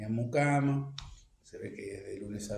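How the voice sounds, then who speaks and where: Somewhat breathy and dark, mellow in tone, a man talks in a Rioplatense accent with audible room echo around him. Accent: Argentine Rioplatense Spanish. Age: 70s. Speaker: archivist and researcher. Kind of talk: interview. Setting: at home. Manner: hesitant, many fillers.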